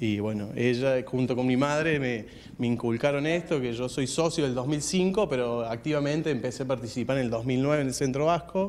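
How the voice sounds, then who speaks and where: Hardly pausing, a man talks at a moderate pace with ordinary pitch variation. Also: medium pitch for a man. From Argentina, Río Cuarto (Córdoba); Córdoba, Argentina. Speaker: Basque community center member. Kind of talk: radio interview. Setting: on location at community center. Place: hall. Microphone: handheld.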